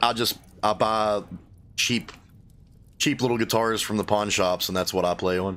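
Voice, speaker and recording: A man with an Appalachian accent talks in a fairly low pitch at a moderate pace, with long, frequent pauses. The recording is very clean, with a silent background. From US, Appalachia. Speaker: gaming streamer and musician. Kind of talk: casual chat while livestreaming a game. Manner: casual, rambling with fillers.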